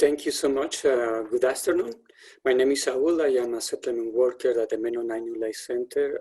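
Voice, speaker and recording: Speaking at a fairly quick pace with a Spanish accent, a man uses a dark, mellow tone at medium pitch and fairly even intonation. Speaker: settlement worker. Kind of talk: webinar introduction.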